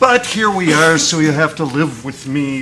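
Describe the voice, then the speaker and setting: Over noticeable background noise and audible room echo, a man with an American accent speaks at a fairly slow pace with lively intonation. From United States. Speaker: arbitration lawyer. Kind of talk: panel discussion. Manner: halting, many fillers.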